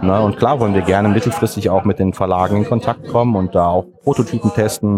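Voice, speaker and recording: Against noticeable background noise, a man with a fairly low pitch speaks with ordinary pitch variation. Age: 40s. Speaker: board game club founder. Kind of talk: interview. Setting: board game event.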